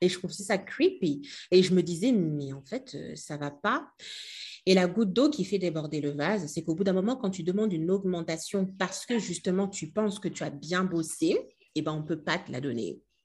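Against a quiet background, a woman speaks at a moderate pace and medium pitch, somewhat breathy, with lively intonation. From DR Congo, Kinshasa. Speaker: storytelling coach and entrepreneur. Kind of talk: casual interview.

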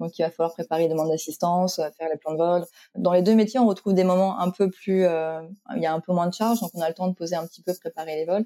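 Dry and close with no echo, a woman's dark, mellow voice moves at a very fast pace with fairly even intonation. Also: fairly low pitch for a woman. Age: 30s. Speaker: flight operations agent. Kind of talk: interview.

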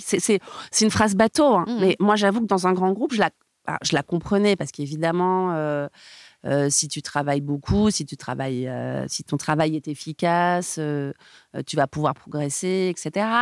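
With an enthusiastic tone and lively intonation, a woman speaks at medium pitch and a fairly slow pace, in a very clean recording with a silent background and a dry, close sound with no echo. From southern France, Montpellier, then Paris from adolescence. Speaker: music label brand partnerships executive. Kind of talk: interview conversation. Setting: recording studio. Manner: dynamic and enthusiastic.

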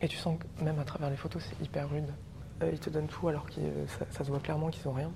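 A woman at a very fast pace amid noticeable background noise. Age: 30s. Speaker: travel agency founder. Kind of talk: casual interview. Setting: museum exhibition in Nantes.

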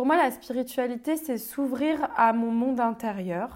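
A woman speaks with a high pitch and ordinary pitch variation. The recording is very clean, with a silent background. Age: 30s. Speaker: public speaker and entrepreneur. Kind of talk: casual interview.

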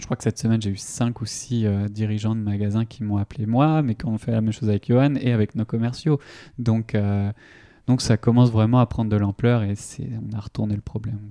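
The loudness swings widely over a quiet background. The sound is dry and close, with no echo. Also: man, medium pitch for a man, fairly even intonation. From Brittany (Vitré, Ille-et-Vilaine). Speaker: startup founder. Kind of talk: interview. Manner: halting, many fillers and repetitions.

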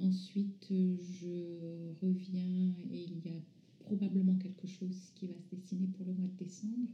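A woman speaks at a very slow pace in a dark, mellow tone at a medium pitch, somewhat breathy. Her intonation stays monotone and flat, with audible room echo. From France, from age 11; born in North Africa to Iranian parents. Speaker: visual artist, former architect. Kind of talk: interview. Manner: halting.

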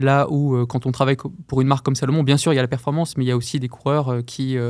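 At a very fast pace, a man speaks in a medium pitch with monotone, flat intonation. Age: 30s. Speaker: running shoe product manager and elite runner. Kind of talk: interview. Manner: halting, many repetitions.

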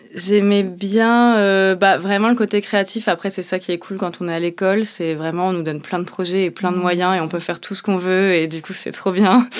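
A woman's medium-pitched voice at a moderate pace, with fairly even intonation and hardly any pauses. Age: 30s. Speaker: chef. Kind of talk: interview testimony. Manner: hesitant, many fillers.

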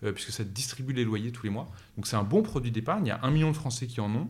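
A somewhat breathy, medium-pitched male voice at a fairly quick pace, with audible room echo. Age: 30s. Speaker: fintech startup founder. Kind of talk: interview. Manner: hesitant fillers.

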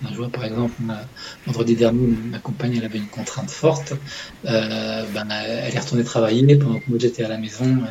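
The speech comes at a fairly quick pace with ordinary pitch variation. Loudness swings widely over noticeable background noise. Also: man. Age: 40s. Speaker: public-sector legal manager, father. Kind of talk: interview testimony. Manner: halting, many hesitations.

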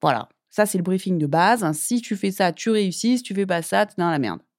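A woman speaks at a moderate pace in an unremarkable speaking voice, pitched in the medium range with lively intonation. The recording is very clean, with a silent background. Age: 30s. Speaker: podcast host and empowerment coach. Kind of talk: solo podcast monologue. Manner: casual, conversational.

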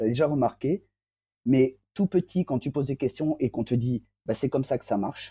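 A somewhat breathy man at a fairly quick pace. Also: dry, close sound with no echo. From southern France. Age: 40s. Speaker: interviewee sharing personal testimony. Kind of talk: personal testimony interview. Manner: hesitant, many fillers.

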